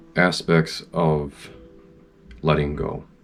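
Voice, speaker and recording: A man's very deep, low voice with fairly even intonation, music in the background. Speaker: parent. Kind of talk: reflective motivational talk. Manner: unscripted, with fumbles.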